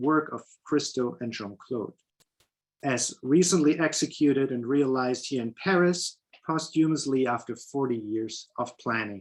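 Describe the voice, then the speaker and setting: This man's intonation is lively and his pitch fairly high. He keeps a moderate pace. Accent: German. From Germany. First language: German. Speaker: painter. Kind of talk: lecture.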